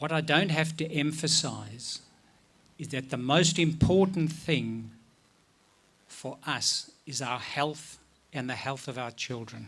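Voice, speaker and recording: Speaking very slowly with long, frequent pauses, a man with a non-native accent holds a fairly high pitch. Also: ordinary pitch variation. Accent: foreign. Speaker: paediatrician. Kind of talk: rally speech.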